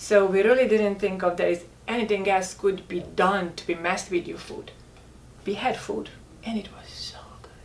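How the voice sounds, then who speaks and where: A woman at a moderate pace, with big swings in loudness, audible room echo and noticeable background noise. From rural Hungary. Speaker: health food company co-founder, former model. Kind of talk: casual chat.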